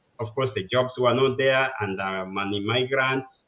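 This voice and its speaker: A man speaks at medium pitch. He has a Kenyan accent. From Kenya, village in western Kenya. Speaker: civil engineer. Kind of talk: interview, life story. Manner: halting, many fillers.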